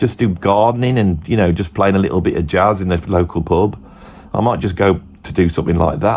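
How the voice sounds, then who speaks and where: A man speaks with a Birmingham accent at a fairly quick pace. His intonation is lively. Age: 50s. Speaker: musician and guitar teacher. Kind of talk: casual monologue.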